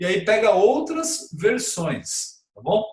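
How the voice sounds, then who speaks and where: Pitch swings very widely while the delivery stays fairly slow. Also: man. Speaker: pastor and Bible teacher. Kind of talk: Bible study lesson. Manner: casual, conversational with fillers.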